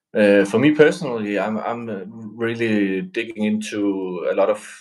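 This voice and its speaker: A man talks at a medium pitch. He has a Danish accent. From Denmark. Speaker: metal band musician. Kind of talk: casual live-stream interview.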